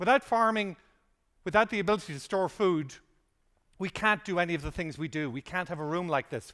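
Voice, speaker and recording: Delivered at a moderate pace with an Irish accent, the voice is bright and sharp with lively intonation on a very clean recording with a silent background. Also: man. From Ireland. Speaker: conference speaker. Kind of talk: conference keynote talk.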